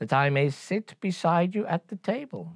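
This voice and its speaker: In a put-on character voice, a man talks at a fairly slow pace with a creaky sound on a very clean recording with a silent background. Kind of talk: bedtime story. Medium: read story.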